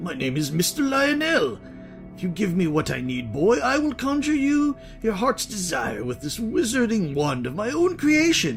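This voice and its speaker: A man does a put-on character voice, pitched high. He keeps a moderate pace while clear music plays behind him. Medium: game stream.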